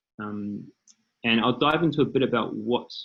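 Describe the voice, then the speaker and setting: A man talks at a fairly slow pace with a New Zealand accent. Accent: New Zealand accent, noticeable. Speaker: startup founder and CEO. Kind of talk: panel presentation.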